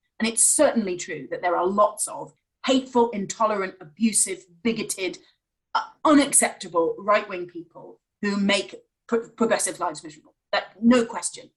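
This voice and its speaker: A somewhat breathy woman with a fairly high pitch speaks at a moderate pace, with lively intonation and big swings in loudness. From rural Wales. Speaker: think tank chief executive. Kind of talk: live online interview. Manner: halting.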